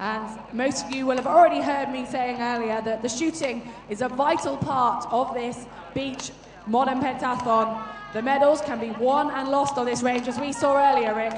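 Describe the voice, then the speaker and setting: Over noticeable background noise and audible room echo, a woman talks at a high pitch with fairly even intonation. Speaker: sports commentator. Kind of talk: live commentary.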